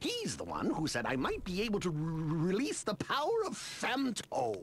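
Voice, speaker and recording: A put-on character voice at a middle pitch moves at a moderate pace over clear background noise. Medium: video game. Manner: stammering, haughty.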